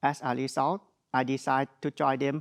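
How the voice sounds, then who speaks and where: With a strong Thai accent, a man speaks in fairly even intonation, the sound dry and close with no echo against a quiet background. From Thailand. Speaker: graduate student speaker. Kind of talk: ceremonial speech.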